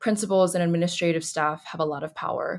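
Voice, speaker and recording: On a very clean recording with a silent background, a woman with an American accent speaks at a very fast pace and fairly low pitch, her intonation fairly even. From Colorado. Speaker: computer science student. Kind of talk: explanatory interview.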